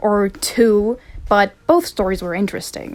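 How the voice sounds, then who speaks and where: A woman with a non-native accent speaks at a fairly slow pace. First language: not English. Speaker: video essayist. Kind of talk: unscripted rant. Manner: casual, rambling.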